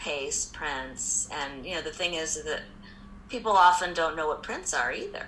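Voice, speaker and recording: Heard with audible room echo, a woman with an American accent speaks at a fairly slow pace in a fairly low pitch. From US Midwest (Indianapolis, Indiana). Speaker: art gallery owner. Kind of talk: interview. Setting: video call.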